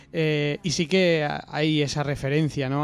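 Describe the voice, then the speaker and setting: On a very clean recording with a silent background, a man with a Spanish accent talks at a fairly high pitch with fairly even intonation. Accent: Spanish (Spain). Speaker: podcast host. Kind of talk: casual chat.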